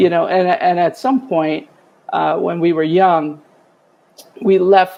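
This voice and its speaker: Speaking fairly slowly with a Bronx accent, a woman has a dark, mellow tone. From New York City, the Bronx. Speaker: retired EMS chief. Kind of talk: interview testimony.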